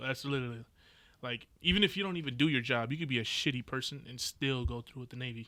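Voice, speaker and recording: Talking at a fairly quick pace in an American accent, a man has a medium pitch, ordinary pitch variation and a bright, sharp tone. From San Diego, California. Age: 20s. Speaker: navy sailor. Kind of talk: casual chat.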